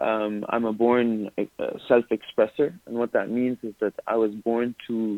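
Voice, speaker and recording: He is a man with a medium pitch. His pace is fairly slow. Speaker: artist, entrepreneur and mental health speaker. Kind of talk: casual interview. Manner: animated, halting with repetitions.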